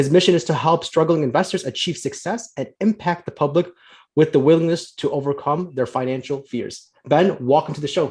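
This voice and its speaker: A man speaks in a normal speaking voice at a fairly quick pace. His pitch is fairly high, with ordinary variation. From US Midwest, Chicago. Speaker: podcast host, financial planner. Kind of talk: podcast interview.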